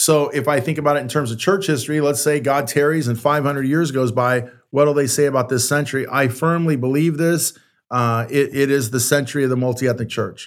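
A man's fairly high, unremarkable speaking voice with an American accent, fairly even intonation and a fairly quick pace, in a very clean recording with a silent background. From San Francisco, California. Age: 60s. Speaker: pastor and author. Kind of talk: interview conversation.

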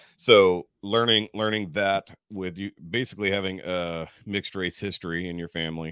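Speaking with a slight Texas accent, a man has a very deep, low pitch, a bright, sharp tone and fairly even intonation in a dry, close sound with no echo. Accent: general American, little Texas twang. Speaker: podcaster. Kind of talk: casual chat. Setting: online call.

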